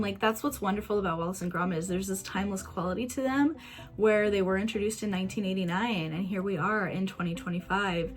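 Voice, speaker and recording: A woman with a Midwestern American accent and an enthusiastic tone, talking very fast with hardly any pauses over noticeable background noise. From Kansas, USA. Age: 20s. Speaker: YouTuber, movie reviewer. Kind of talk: casual talk to camera, movie review.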